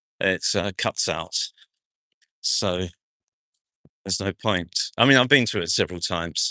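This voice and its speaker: A man with a very deep, low pitch speaks at a fairly slow pace, leaving long, frequent pauses. His tone is bright and sharp, his pitch variation ordinary, and the sound dry and close with no echo over a quiet background. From New Zealand, South Auckland. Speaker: actor and vlogger. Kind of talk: live-stream walking vlog. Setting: outdoors at a street festival, walking. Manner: casual, hesitant with many fillers.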